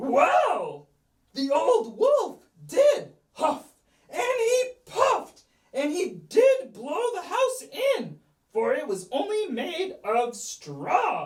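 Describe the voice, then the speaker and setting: A put-on character voice pitched extremely high, with very wide swings in pitch. It moves at a very slow pace. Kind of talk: children's story reading.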